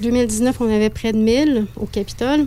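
A woman's fairly high voice in a monotone, flat delivery. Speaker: festival director. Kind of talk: interview. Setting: studio.

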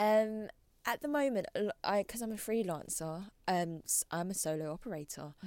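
A woman with a London accent, medium in pitch, her intonation lively, recorded dry and close with no echo. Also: moderate pace. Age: 30s. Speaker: fitness trainer and blogger. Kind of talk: casual interview chat.

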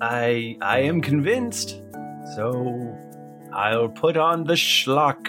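Over clear background music, a man uses a put-on character voice at a medium pitch and a very slow pace. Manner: melancholy, poetic, nostalgic.

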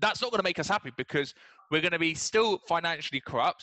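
This man speaks at a fairly high pitch with ordinary pitch variation and a bright, sharp tone. The sound is dry and close, with no echo.

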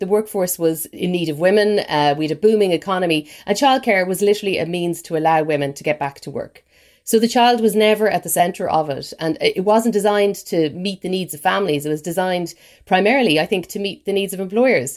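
A woman with an Irish accent talks at a very fast pace. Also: medium pitch for a woman, ordinary pitch variation, very clean recording, silent background. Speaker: newspaper features writer. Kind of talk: news podcast interview.

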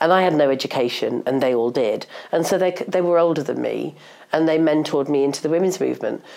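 Very deep and low in pitch, a woman's voice with vocal fry and a dark, mellow tone rushes along at a very fast pace. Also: ordinary pitch variation. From northeast England. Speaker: journalist and feminist campaigner. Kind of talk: interview conversation. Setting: podcast interview.

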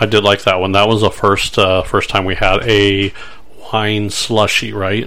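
Over noticeable background noise, a man speaks fairly slowly at a fairly low pitch with monotone, flat intonation. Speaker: podcast host. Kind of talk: casual chat. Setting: studio.

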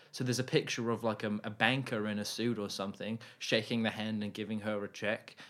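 A man with a fairly low pitch and monotone, flat intonation, in a very clean recording with a silent background. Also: hardly any pauses. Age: 20s. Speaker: podcast co-host. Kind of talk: casual chat.

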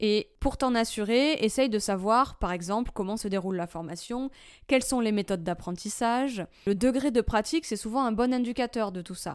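A woman speaks at a moderate pace with fairly high pitch and ordinary pitch variation, in an unremarkable speaking voice. The recording is very clean, with a silent background. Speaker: coffee trainer and consultant. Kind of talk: solo podcast talk.

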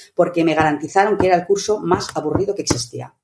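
A woman talks at a very fast pace with lively intonation. Her pitch sits fairly low. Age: 60s. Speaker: meetings consultant and author. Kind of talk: interview.

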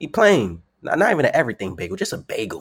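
With an American accent, a man talks at a very fast pace on a very clean recording with a silent background. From New York. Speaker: professional wrestler. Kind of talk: casual interview. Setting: podcast interview.

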